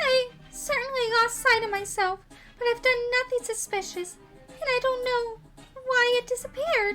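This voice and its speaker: Over faint music in the background, a female-sounding put-on character voice speaks at a moderate pace with extremely high pitch. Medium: game stream. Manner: earnest, emotional.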